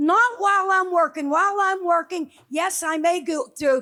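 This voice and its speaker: A woman speaks at an extremely high pitch. Her tone is bright and sharp. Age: 70s. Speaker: audience member. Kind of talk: audience statement. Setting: luncheon with audience.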